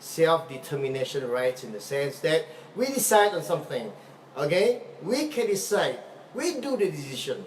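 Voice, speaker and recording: A high-pitched man at a moderate pace, with very wide pitch swings, over noticeable background noise. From Sarawak, Malaysia. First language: Malay or other Malaysian language. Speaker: political activist. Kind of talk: live video talk. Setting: live Facebook video. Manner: halting, repetitive.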